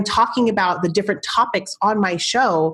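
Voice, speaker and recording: A woman at medium pitch, animated in tone, with ordinary pitch variation and a moderate pace. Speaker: marketing coach and podcast host. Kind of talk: podcast interview. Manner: loud.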